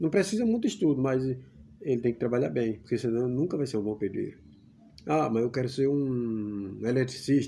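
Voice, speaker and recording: Lively intonation runs through the speech. The pace stays moderate. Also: man. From Brazilian Northeast (Pernambuco interior). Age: 50s. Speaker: YouTuber. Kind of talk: casual vlog monologue.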